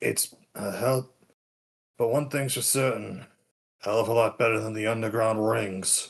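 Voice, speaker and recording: Putting on a guttural character voice, a man talks at medium pitch and a moderate pace, leaving long, frequent pauses. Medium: actual play. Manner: gruff, weary.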